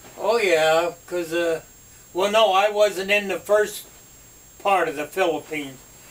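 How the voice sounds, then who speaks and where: Amid noticeable background noise, a man with a high pitch speaks fairly slowly and with fairly even intonation, leaving long, frequent pauses. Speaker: WWII veteran, former army sergeant. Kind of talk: interview answer. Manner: hesitant, halting.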